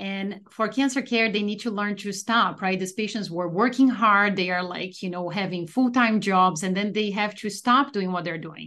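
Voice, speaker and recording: A woman with a Portuguese accent, medium pitch and ordinary pitch variation, speaking with hardly any pauses. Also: moderate pace. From Brazil. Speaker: oncologist. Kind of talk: interview.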